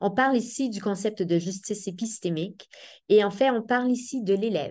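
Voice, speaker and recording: At a fairly high pitch, a woman talks at a moderate pace with ordinary pitch variation over a quiet background. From Quebec. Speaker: professor of education. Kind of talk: seminar talk. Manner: hesitant, many fillers.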